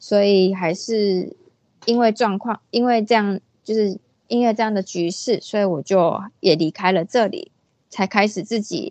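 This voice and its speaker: At a fairly slow pace, a woman speaks with a medium pitch. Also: ordinary pitch variation. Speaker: freelance illustrator. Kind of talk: casual interview. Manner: hesitant, many fillers.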